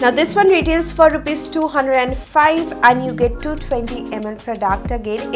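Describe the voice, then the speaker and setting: A woman talks at a fairly slow pace. Clear music runs behind her. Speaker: beauty content creator. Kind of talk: product review vlog. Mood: cheerful, upbeat. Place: home room.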